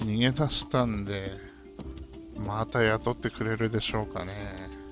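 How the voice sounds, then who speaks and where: A man talks at a fairly slow pace with fairly even intonation while music plays in the background. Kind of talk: casual gameplay commentary. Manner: regional dialect.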